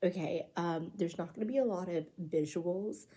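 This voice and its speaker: The speaker is soft-spoken, with a dark, mellow tone. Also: woman. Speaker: ASMR creator. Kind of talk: soft-spoken ASMR ramble.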